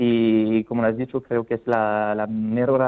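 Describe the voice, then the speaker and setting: Very slowly, a man talks in a monotone, flat intonation. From France. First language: French (speaking Spanish). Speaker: wine sample company representative. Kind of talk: radio interview. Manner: halting.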